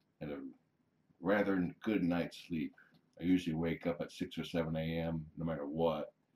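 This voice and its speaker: Very deep and low in pitch, a man speaks at a moderate pace with fairly even intonation. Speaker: kitten foster carer. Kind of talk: casual livestream chat.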